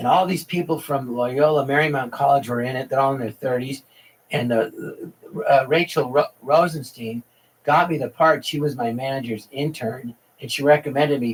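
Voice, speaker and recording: This man's voice is fairly high and somewhat breathy. He keeps a moderate pace with fairly even intonation. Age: 60s. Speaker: actor. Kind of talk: casual chat. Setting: podcast.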